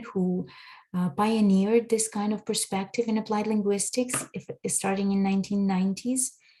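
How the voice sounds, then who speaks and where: This woman's voice sits at a medium pitch. It sounds somewhat breathy. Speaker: language education researcher. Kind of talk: conference presentation.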